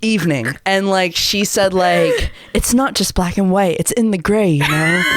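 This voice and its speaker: Moderate pace over noticeable background noise. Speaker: podcast host. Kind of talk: casual podcast conversation. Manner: excited, upbeat.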